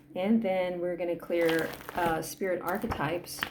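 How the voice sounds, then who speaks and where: A woman with a fairly low pitch talks over noticeable background noise. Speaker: energy healing practitioner. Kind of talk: guided energy clearing session. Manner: fast.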